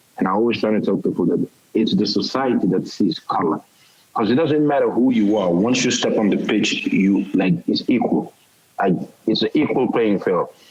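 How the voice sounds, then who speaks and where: A man speaks at a moderate pace with very even loudness. Noticeable background noise runs behind him. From Europe. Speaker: football head coach, host. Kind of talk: casual interview chat.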